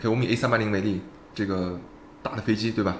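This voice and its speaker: A man at a very fast pace. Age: 30s. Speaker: startup founder, former headhunter. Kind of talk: casual interview.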